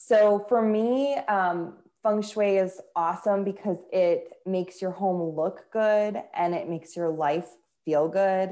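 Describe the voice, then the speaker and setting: Speaking very slowly, a woman with an American accent has a medium pitch, a dark, mellow tone and ordinary pitch variation. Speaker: feng shui expert and author. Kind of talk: casual interview.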